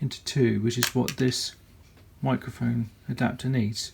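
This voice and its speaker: Someone speaks fairly slowly with a British accent. Noticeable background noise runs underneath. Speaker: YouTube gadget reviewer. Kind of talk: product review tutorial. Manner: soft-spoken. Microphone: far from the mic, one to two meters.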